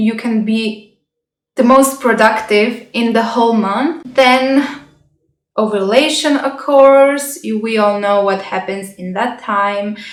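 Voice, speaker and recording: Speaking very slowly with a non-native accent, a woman uses a fairly high pitch and fairly even intonation amid audible room echo. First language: not English. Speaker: health and self-growth vlogger. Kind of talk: casual vlog talk. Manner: halting.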